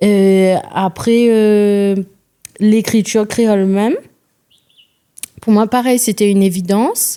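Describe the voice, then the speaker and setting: A woman at a very slow pace with long, frequent pauses, in a Réunion accent, with a medium pitch, a dark, mellow tone, fairly even intonation and very even loudness. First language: Réunion Creole (speaking French). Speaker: singer-songwriter. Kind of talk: podcast interview. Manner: halting.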